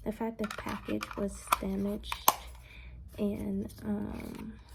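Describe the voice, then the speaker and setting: Soft-spoken, a woman talks at a very slow pace in an American accent. Noticeable background noise can be heard. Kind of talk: ASMR unboxing talk to camera.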